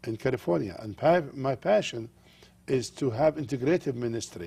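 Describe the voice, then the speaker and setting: A man with an Arabic accent speaks with lively intonation. His voice is somewhat breathy. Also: medium pitch for a man, moderate pace. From Jordan. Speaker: pastor. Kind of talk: TV interview. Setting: studio.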